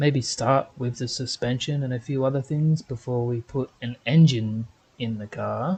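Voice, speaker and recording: A man with an unremarkable speaking voice, medium pitch, fairly even intonation and a fairly slow pace. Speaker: gaming video creator. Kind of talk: gameplay commentary.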